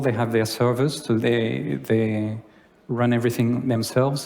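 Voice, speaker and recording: In a French accent, a man speaks at a medium pitch with monotone, flat intonation and audible room echo. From France. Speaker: conference speaker. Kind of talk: conference talk. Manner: halting.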